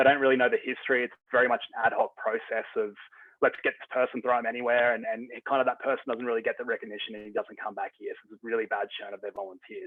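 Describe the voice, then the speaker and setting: A man with an Australian accent talks very fast with hardly any pauses and big swings in loudness. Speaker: software company representative. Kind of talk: webinar presentation. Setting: video call. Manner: hesitant, many fillers.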